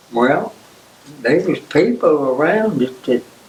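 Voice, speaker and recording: Over noticeable background noise, a man talks in an Appalachian accent. His fairly high voice has lively intonation. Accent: Southern American (Appalachian). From East Tennessee. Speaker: World War II Navy veteran. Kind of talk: oral history interview answer.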